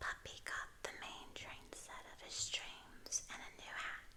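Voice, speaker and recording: Someone whispers in a gentle tone at a very slow pace. Noticeable background noise sits behind the voice. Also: woman. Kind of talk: ASMR picture book reading. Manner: soft-spoken, gentle.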